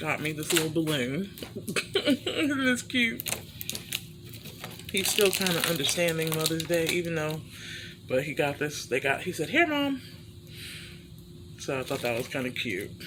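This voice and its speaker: Very wide pitch swings and long, frequent pauses mark this voice, heard over noticeable background noise. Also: woman, very deep, low pitch for a woman, moderate pace. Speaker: vlogger. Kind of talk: casual vlog. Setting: home hospital bed.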